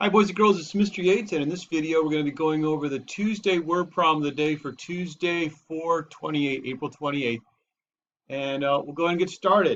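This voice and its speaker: At a fairly quick pace, a man speaks at a fairly high pitch with ordinary pitch variation. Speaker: elementary school teacher. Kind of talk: tutorial. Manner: loud.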